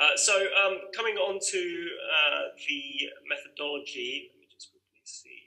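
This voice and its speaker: A man with a British accent talks at a fairly slow pace with hardly any pauses. His loudness swings widely. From UK. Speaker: migration researcher. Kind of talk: webinar presentation. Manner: halting.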